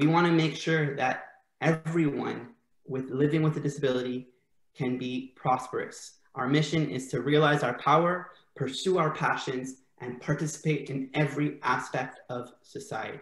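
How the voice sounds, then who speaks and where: A man's somewhat breathy voice, fairly high in pitch, with fairly even intonation at a moderate pace. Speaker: event host and interviewer. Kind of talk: casual bilingual interview hosting. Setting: video call.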